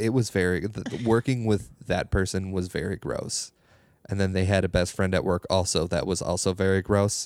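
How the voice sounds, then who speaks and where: A man with an Upper Midwest accent speaks in a very deep, low pitch with fairly even intonation. The recording is very clean, with a silent background. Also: moderate pace. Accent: Upper Midwest (Minnesota). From northern Minnesota. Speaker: comedian. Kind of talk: casual chat.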